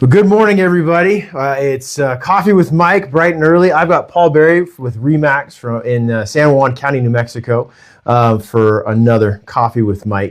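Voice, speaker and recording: At a moderate pace and with hardly any pauses, a man speaks at a fairly high pitch. His intonation is lively, and the background is quiet. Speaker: mortgage lender and interview host. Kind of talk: casual interview chat. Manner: loud, projecting; intense.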